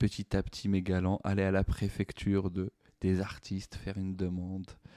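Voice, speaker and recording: In a Moroccan accent, a man speaks at a moderate pace with a very deep, low pitch, a dark, mellow tone and monotone, flat intonation, recorded dry and close with no echo. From Morocco. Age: 40s. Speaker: stand-up comedian. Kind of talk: podcast monologue. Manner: hesitant, many fillers.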